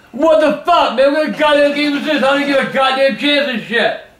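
A man speaks at an extremely high pitch with a fairly bright tone and ordinary pitch variation. Strong room echo fills the recording. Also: fairly quick pace.

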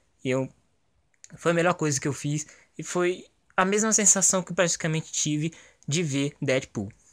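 A man with a fairly high pitch is captured on a very clean recording with a silent background. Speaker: gaming YouTuber giving movie review. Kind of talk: casual video review monologue. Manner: animated.

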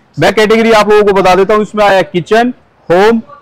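A high-pitched male voice at a moderate pace, fairly even in intonation, with dry sound and no echo. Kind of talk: promotional walkthrough talk. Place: factory.

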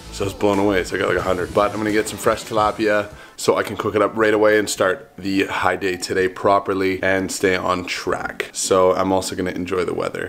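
Faint music plays in the background as a man talks at a fairly quick pace with a fairly low pitch and monotone, flat intonation. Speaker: vlogger. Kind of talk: casual vlog chat. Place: home room. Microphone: phone near.

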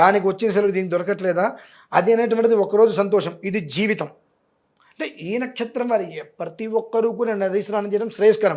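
Fairly even intonation marks this man's high-pitched speech. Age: 40s. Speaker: astrologer and religious scholar. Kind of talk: interview on religious remedies.

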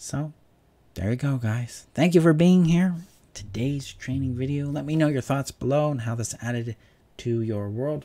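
This man's tone is dark and mellow. He speaks at a moderate pace. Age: 40s. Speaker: relationship coach. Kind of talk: self-help talk. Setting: home video recording. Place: home room. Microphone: studio mic.

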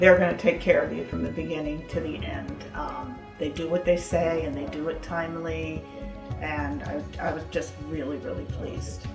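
A woman talks at a moderate pace while music plays clearly in the background. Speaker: homeowner giving a testimonial. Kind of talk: customer testimonial interview. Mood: enthusiastic, pleased. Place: home room.

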